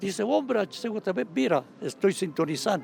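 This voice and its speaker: A man with a highland Ecuadorian accent speaks at a moderate pace in a dark, mellow tone. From Ecuadorian highlands (Baños, Tungurahua). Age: 80s+. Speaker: veteran radio journalist and pastor. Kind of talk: interview.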